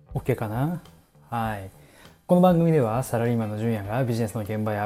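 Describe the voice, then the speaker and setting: A fairly quick-paced man's voice of medium pitch, somewhat breathy, with a dark, mellow tone and ordinary pitch variation, on a very clean recording with a silent background. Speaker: office worker podcaster. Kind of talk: casual solo talk. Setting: home kitchen, wrapping dumplings.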